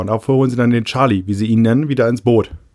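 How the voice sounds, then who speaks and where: He has a plain, everyday voice. The man's pitch sits in the medium range with ordinary variation. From Friesland, northern Germany. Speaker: podcast co-host. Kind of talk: casual chat.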